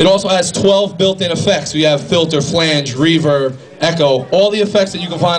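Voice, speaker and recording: Against noticeable background noise and audible room echo, a man speaks at a fairly high pitch with fairly even intonation. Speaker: product specialist. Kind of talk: live product demo. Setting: record store event with audience. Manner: fast.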